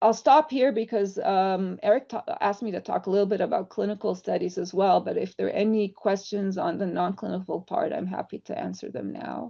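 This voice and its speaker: A woman speaks at a fairly quick pace. She hardly pauses at all. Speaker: drug developer, company founder. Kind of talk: online presentation.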